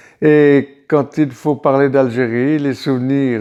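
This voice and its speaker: A man's dark, mellow voice, fairly high in pitch, with ordinary pitch variation and a very slow pace. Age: 80s+. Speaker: Algerian War veteran. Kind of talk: interview answer. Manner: hesitant, reflective.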